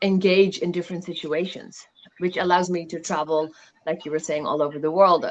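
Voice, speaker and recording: A woman speaking at a fairly quick pace. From Netherlands, Indian family. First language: Tamil and Dutch. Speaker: facilitator and businesswoman. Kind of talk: casual interview chat.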